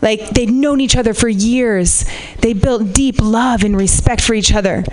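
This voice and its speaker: A woman talks at a high pitch and a moderate pace. Noticeable background noise is present. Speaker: comedian. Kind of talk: stand-up. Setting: stage with audience. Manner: animated.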